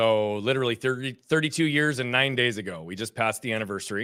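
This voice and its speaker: A man speaks very fast at a medium pitch with ordinary pitch variation and a bright, sharp tone, on a very clean recording with a silent background. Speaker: performance coach and speaker. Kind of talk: interview. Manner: animated.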